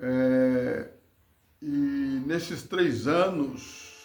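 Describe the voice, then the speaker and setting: A man's medium-pitched voice, fairly even in intonation, with audible room echo. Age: 60s. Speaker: former church worker. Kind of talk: testimony. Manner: preachy.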